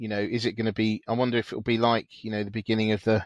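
The voice has a British accent and monotone, flat intonation, heard in a dry, close sound with no echo against a quiet background. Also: man. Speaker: podcast host. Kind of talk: casual chat. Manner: chatty, hesitant with many fillers.

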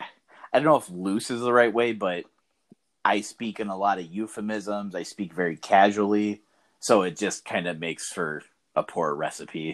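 A man speaks in a plain, everyday voice, fairly low in pitch with ordinary variation. His pace is moderate, on a very clean recording with a silent background. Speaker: podcast host. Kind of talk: casual chat.

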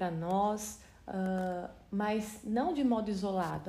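The intonation stays fairly even, with audible room echo around the voice. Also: woman. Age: 40s. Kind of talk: Bible study talk. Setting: video recording. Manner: halting.

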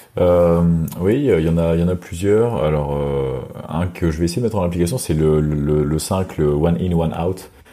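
Over noticeable background noise, a man speaks at a moderate pace with a very deep, low pitch and ordinary pitch variation. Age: 30s. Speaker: podcast contributor, athlete. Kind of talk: casual chat. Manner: halting, repeats words.

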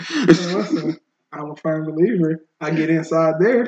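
Someone puts on a character voice at a middle pitch and a moderate pace.

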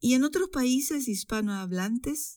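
In a very clean recording with a silent background, a woman's dark, mellow tone moves through very wide pitch swings. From Chile. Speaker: Spanish teacher and podcast host. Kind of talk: educational podcast narration.

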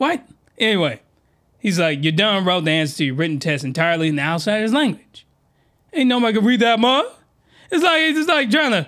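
Fairly quick and animated, a man with a high pitch and a bright, sharp tone swings his pitch very widely while keeping his loudness very even, leaving long, frequent pauses. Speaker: anime podcast host. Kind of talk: comedic review monologue.

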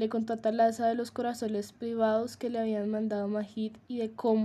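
Someone reads text aloud in a natural voice.

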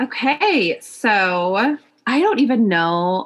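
With an American accent and lively intonation, a woman speaks in an ordinary speaking voice. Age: 30s. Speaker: podcast co-host. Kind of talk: casual chat. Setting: remote recording.

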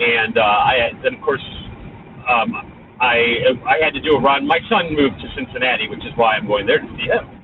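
Noticeable background noise accompanies a man who speaks at a moderate speed. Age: 50s. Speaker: podcast co-host, amateur runner. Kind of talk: casual chat. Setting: remote call.

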